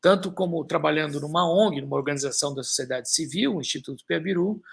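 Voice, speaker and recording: This man talks at a moderate pace, his fairly high pitch moving with ordinary variation. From Brazil, São Paulo. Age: 60s. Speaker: author and environmentalist. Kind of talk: live stream talk. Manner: halting, many fillers.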